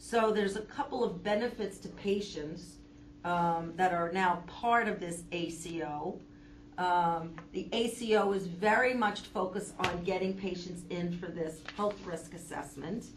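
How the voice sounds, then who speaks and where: Somewhat breathy, a woman speaks at a fairly low pitch with ordinary pitch variation. Her pace is fairly slow. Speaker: substitute lecturer, healthcare educator. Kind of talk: lecture with class discussion. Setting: classroom with live audience.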